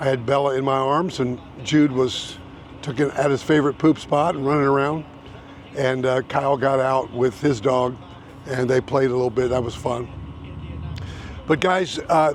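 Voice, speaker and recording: Over noticeable background noise, a man with an American accent speaks with fairly even intonation and long, frequent pauses. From Indiana, US Midwest. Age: 70s. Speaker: realtor and YouTuber. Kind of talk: casual vlog talk. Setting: outdoors.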